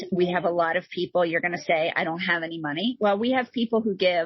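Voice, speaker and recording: Her pitch fairly low, a woman speaks at a very fast pace with ordinary pitch variation. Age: 50s. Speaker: nonprofit founder. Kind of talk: interview conversation. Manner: animated.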